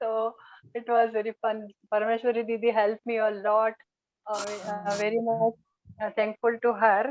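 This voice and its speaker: With an Indian accent, a woman talks in a monotone, flat intonation broken by long, frequent pauses. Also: fairly high pitch for a woman, moderate pace. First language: Hindi. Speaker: scripture study trainer. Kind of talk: online group sharing. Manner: halting.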